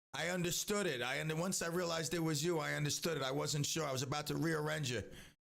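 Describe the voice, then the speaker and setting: A man's fairly high, animated voice at a very fast pace, his loudness very even, with audible room echo. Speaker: radio show host. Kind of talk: live radio talk show. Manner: animated, rambling with many restarts.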